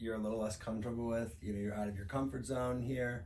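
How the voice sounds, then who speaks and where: A man with an American accent speaks at a fairly low pitch with ordinary pitch variation. Audible room echo surrounds his voice. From US Midwest, St. Louis, Missouri. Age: 30s. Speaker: podcast co-host. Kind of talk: casual chat. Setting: indoor podcast recording while traveling.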